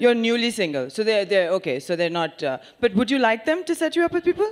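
Speaking with an Indian accent, a woman sounds animated and playful at a fairly high pitch. Her pitch swings very widely, and her pace is fairly quick. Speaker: stand-up comedian. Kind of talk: stand-up comedy. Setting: stage with audience. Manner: animated, playful; quick-witted, sarcastic, with mimicked voices. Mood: sarcastic, playful. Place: stage. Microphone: handheld.

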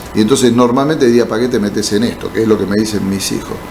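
A man speaks in an Argentine accent over light background noise. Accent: Rioplatense Argentine Spanish. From Argentina, Buenos Aires province. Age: 60s. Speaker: politician, former mayor and doctor; politician, former mayor. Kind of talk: interview. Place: studio. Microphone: studio mic.

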